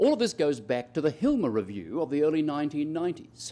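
A man talks with an Australian accent. His pitch swings very widely. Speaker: economist, professor; professor. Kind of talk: lecture. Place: hall. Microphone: podium.

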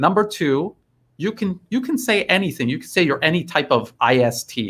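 This man has an American accent and talks at a moderate pace. His pitch swings very widely. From United States. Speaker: geopolitical commentator, live stream host; stream host. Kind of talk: casual live-stream discussion. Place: home room. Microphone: earbuds.

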